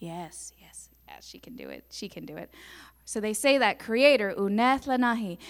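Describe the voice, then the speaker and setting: An ordinary speaking voice from a woman, fairly high in pitch, with ordinary pitch variation, big swings in loudness and a moderate pace, in a very clean recording with a silent background. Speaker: storyteller. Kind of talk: interactive storytelling to a church congregation with call-and-response. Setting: church.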